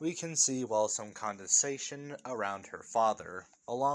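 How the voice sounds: What we hear is a natural reading voice.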